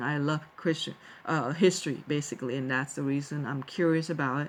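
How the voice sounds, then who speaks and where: Her pitch very deep and low, a woman speaks with a Thai accent at a moderate pace and with fairly even intonation. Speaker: vlogger, teacher. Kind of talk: personal talk to viewers. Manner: halting, many fillers and restarts.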